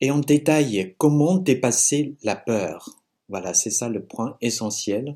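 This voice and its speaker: A man with a Chinese accent speaks at a very slow pace with lively intonation. His medium-pitched voice has a dark, mellow tone. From China. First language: Chinese (speaking French). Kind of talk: religious teaching talk with testimony. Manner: halting.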